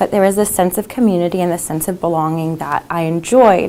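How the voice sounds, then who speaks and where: With an American accent and an unremarkable speaking voice, a woman talks at a fairly quick pace in a fairly low pitch. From China (American expat family). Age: 20s. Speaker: student and activist, convert telling her story. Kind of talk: testimony.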